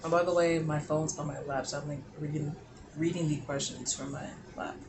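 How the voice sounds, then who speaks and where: Over noticeable background noise and audible room echo, a man talks at a fairly quick pace with a fairly high pitch and monotone, flat intonation. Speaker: lifestyle vlogger. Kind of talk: casual chat.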